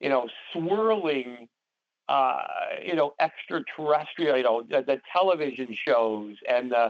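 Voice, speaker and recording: With a normal speaking voice, a man talks at a fairly slow pace and medium pitch, his loudness very even throughout. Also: lively intonation. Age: 60s. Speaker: paranormal society co-founder and call host. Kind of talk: interview on conference call. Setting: conference call. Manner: many fillers and repetitions.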